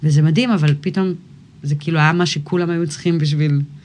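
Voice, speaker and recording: A woman with a very deep, low pitch speaks somewhat breathily at a moderate pace, with ordinary pitch variation. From Israel, Galilee (Kfar Vradim). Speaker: musician, rapper. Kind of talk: casual interview.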